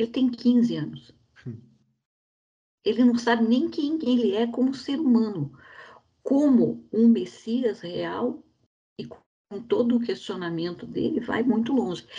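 A woman speaks very slowly at a fairly high pitch, with long, frequent pauses. Her tone is dark and mellow, and her intonation is lively. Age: 60s. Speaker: bank employee, film club member. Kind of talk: casual chat.

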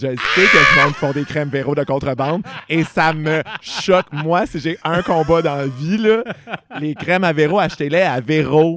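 Over noticeable background noise, a man with a Quebec accent speaks at a moderate pace and a fairly high pitch. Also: ordinary pitch variation. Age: 20s. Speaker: podcast host. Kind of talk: casual chat.

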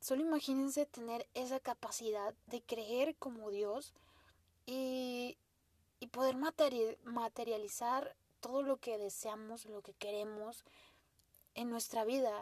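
In a dry, close sound with no echo, a woman with a high pitch speaks very slowly, with fairly even intonation and big swings in loudness. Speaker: podcast host. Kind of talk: casual monologue. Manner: halting, stuttering at times.

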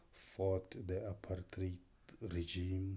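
Very slow and somewhat breathy, a man speaks in a very deep, low pitch with a dark, mellow tone and monotone, flat intonation over a quiet background. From South Africa, North West Province (Mahikeng). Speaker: filmmaker. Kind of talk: interview.

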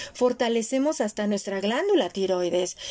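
A woman with a Mexican accent and ordinary pitch variation, over noticeable background noise. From Mexico. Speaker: podcast host and former radio announcer. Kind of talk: casual chat.

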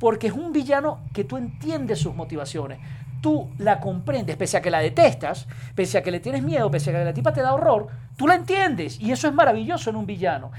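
A man's fairly quick speech in a Venezuelan accent. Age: 40s. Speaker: journalist and producer. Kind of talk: casual chat.

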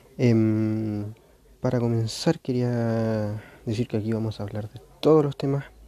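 A man with a medium-pitched voice and a dark, mellow tone speaks very slowly against a quiet background. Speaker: podcast host. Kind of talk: solo casual monologue. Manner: hesitant, many fillers; moderate volume, normal tone.

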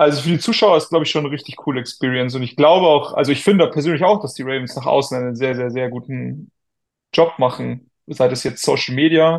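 Pitch variation in this man's voice is ordinary. He talks very fast. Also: fairly high pitch for a man. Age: 20s. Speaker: American football player. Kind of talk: casual chat.

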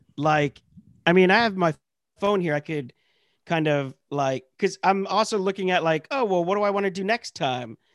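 Speaking at a moderate pace, a man with an American accent has a high pitch. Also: lively intonation, dry, close sound with no echo. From rural Pennsylvania. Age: 30s. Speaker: comedian. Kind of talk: casual chat. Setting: video call.

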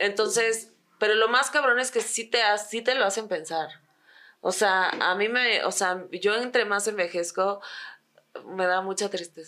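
In a Mexican accent, a woman with a bright, sharp tone and medium pitch speaks at a fairly slow pace with ordinary pitch variation. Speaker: podcast co-host. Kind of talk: casual chat.

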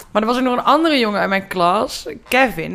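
Here is an ordinary speaking voice. Its pace is moderate and its pitch variation ordinary. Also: woman. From Brabant, Netherlands. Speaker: production designer. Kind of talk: casual chat.

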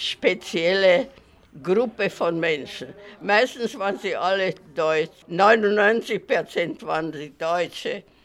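Lively intonation at a very slow pace. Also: woman. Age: 90s. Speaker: elderly writer for a minority magazine. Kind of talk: interview recollection.

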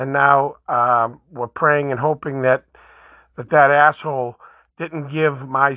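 Someone speaks at a very slow pace with a Boston accent. The background is quiet. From Boston, Massachusetts. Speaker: podcast host. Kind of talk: opinion monologue.

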